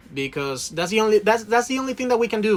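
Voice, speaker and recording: With noticeable background noise behind him, a man speaks with lively intonation and a Spanish accent. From Venezuela. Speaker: cruise ship crew member, video creator. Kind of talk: casual chat. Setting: aboard a cruise ship.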